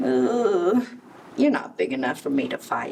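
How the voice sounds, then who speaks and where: A woman uses a put-on character voice at a fairly low pitch, with very wide pitch swings. She keeps a moderate pace over clear background noise. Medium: read story. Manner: brash, then hesitant.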